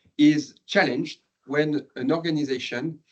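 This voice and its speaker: In a French accent, the speaker talks at a very slow pace with lively intonation. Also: man. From France. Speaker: PhD researcher, former marketing manager. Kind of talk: academic presentation. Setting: lecture room with online audience. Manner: halting, many fillers.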